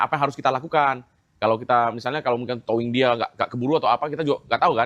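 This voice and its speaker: The recording is dry and close, with no echo. A man speaks at a very fast pace. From Medan, North Sumatra. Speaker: EV owner telling complaint story. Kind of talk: casual interview chat. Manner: animated.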